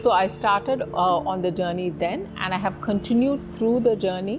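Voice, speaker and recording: A woman at medium pitch with ordinary pitch variation, noticeable background noise behind her. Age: 40s. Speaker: yoga student and architect. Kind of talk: interview testimony.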